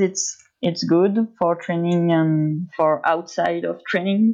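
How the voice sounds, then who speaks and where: Speaking at a medium pitch with ordinary pitch variation, a woman talks in a French accent. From France. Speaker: pro skier. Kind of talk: interview.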